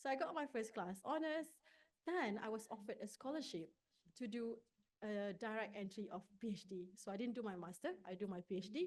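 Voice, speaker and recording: A woman with a Malaysian accent speaks fairly quickly in a fairly high voice, her intonation lively. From Malaysia, rural village. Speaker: neuroscience researcher. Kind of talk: conference talk.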